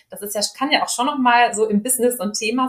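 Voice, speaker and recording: A woman's fairly quick speech has a somewhat breathy quality. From Ruhr area, Germany (Dortmund). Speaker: speech therapist and team coach. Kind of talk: interview.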